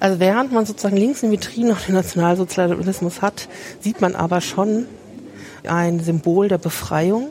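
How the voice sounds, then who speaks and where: Against noticeable background noise, a woman talks at a moderate pace and medium pitch, with ordinary pitch variation and very even loudness. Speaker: podcast host and museum worker. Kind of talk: casual walking museum tour conversation. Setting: walking through a crowded museum with headset mic.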